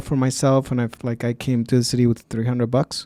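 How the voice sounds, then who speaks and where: This man's tone is dark and mellow, his intonation monotone and flat, and he keeps a moderate pace. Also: very clean recording, silent background. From Mexico. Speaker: podcast host. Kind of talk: podcast interview.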